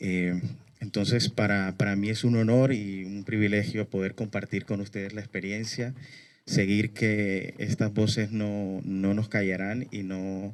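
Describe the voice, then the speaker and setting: Flat and monotone, a man speaks fairly slowly at a fairly low pitch. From Colombia, Barranquilla. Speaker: human rights activist. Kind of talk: speech at a memorial event.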